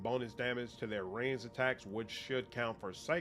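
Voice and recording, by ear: A natural voice, reading aloud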